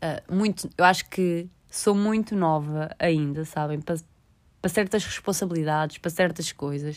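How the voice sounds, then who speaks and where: A woman with a European Portuguese accent speaks at a fairly low pitch and a moderate pace. Her intonation is fairly even, and the recording is very clean with a silent background. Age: 20s. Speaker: podcaster. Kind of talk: casual monologue. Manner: halting.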